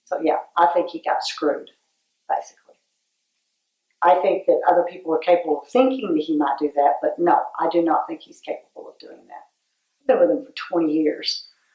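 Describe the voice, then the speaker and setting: Talking at a fairly quick pace, a woman leaves long, frequent pauses. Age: 60s. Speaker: former patient. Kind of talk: interview testimony.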